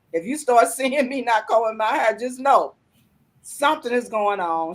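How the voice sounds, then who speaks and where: A woman talks at a high pitch. Her pace is moderate, with ordinary pitch variation. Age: 70s. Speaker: talk show host. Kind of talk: casual chat.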